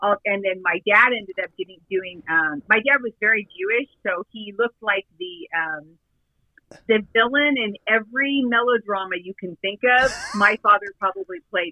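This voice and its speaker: A woman's medium-pitched, normal speaking voice at a moderate pace, with ordinary pitch variation and big swings in loudness. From Southern California. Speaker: actress and filmmaker. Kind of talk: casual interview.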